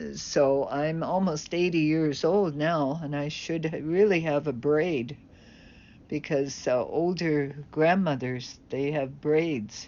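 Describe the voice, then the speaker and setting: Audible room echo surrounds a woman's very deep, low voice. She speaks very slowly with fairly even intonation. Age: 70s. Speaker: vlogger. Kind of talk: casual monologue.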